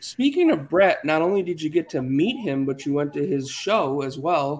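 An American-accented man speaks at a moderate pace in a normal speaking voice, fairly high in pitch. The recording is very clean, with a silent background. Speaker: podcast host. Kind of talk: casual chat.

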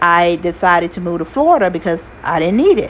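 A woman speaks in an animated tone. Noticeable noise sits in the background. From US South (Arkansas) and Kansas City. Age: 40s. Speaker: podcast host, nursing assistant. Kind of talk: casual solo monologue.

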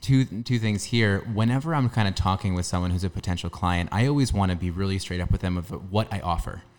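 Very fast speech comes from a man at a fairly low pitch with ordinary pitch variation. The recording is very clean with a silent background. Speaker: podcast co-host. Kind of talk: casual chat. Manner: halting, stutters at times.

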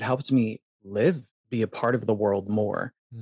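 In a dry, close sound with no echo, a man speaks with an American accent. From Phoenix, Arizona. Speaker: dancer and performer. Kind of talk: interview.

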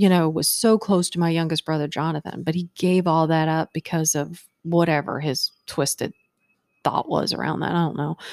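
Recorded very cleanly against a silent background, with a dry, close sound and no echo, a woman with an ordinary speaking voice and an American accent talks at a moderate pace and fairly low pitch with fairly even intonation. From Virginia, Hampton. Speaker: podcast guest, host's mother. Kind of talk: casual chat.

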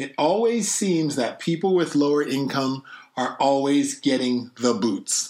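A man with an ordinary speaking voice talks at a fairly slow pace, his pitch fairly high and his intonation lively. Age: young. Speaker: podcast co-host. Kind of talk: casual chat.

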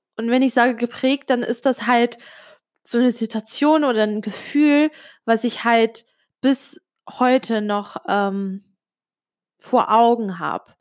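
A woman with a fairly high pitch speaks at a very slow pace with long, frequent pauses, in a dry, close sound with no echo. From Switzerland, Italian family. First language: Italian (speaking German). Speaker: podcaster. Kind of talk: personal monologue. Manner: hesitant, many fillers.

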